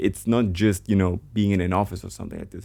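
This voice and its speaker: With a German accent and vocal fry, a man talks very fast in a dark, mellow tone at a fairly low pitch with fairly even intonation. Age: 20s. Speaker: vlogger, trader. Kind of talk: casual vlog monologue. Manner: halting, many restarts and fillers.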